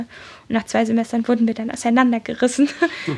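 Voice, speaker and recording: Her voice is fairly high and somewhat breathy. The woman speaks in a monotone, flat intonation. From Berlin, Germany. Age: 20s. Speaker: medical student. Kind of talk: casual interview.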